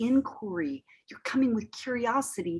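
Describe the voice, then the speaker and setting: Lively intonation in a somewhat breathy voice. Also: woman. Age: 60s. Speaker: author and counselor of fathers. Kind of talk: interview conversation.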